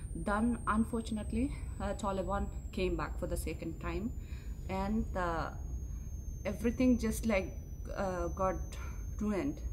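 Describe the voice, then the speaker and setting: A woman speaks at a fairly slow pace, and noticeable background noise runs underneath. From Afghanistan, Bamyan. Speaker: scientist. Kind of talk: interview testimony. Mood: serious, somber. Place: hall.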